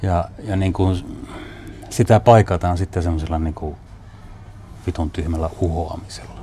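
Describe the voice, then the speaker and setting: A man's very deep, low voice moves at a moderate pace. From Northern Finland, Northern Ostrobothnia. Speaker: documentary filmmaker. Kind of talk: interview.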